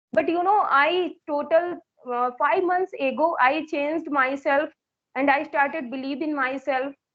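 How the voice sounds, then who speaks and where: A woman's high voice unfolds at a fairly slow pace. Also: ordinary pitch variation. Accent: Indian. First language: Hindi. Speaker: English teacher and learner. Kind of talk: English practice conversation.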